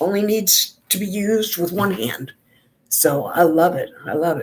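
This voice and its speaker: In a plain, everyday voice, a woman talks at a fairly slow pace, her medium pitch showing ordinary variation. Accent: American. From New York. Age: 60s. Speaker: beauty vlogger. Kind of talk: casual chat.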